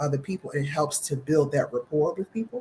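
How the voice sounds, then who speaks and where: This woman's voice sits very deep and low in pitch. There is a somewhat breathy quality to it. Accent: American. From US Northeast, Philadelphia. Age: 60s. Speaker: vegan chef. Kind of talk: casual interview chat.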